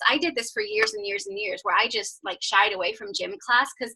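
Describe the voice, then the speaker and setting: A woman with an American accent, fairly high in pitch, bright and sharp in tone, at a very fast pace. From Northern Ireland, Belfast. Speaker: fitness coach. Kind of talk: testimony. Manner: casual, many fillers.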